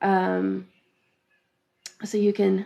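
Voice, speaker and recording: Soft-spoken mumbling from a woman. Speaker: craft teacher. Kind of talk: live-streamed class, casual chat before start. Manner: soft-spoken, tends to mumble; hesitant, many fillers.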